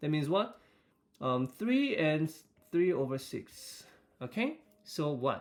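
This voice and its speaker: At a fairly slow pace, a man talks in an unremarkable speaking voice with a fairly high pitch. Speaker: teacher. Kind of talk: recorded math lesson for students. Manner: frequent fillers, rhetorical questions.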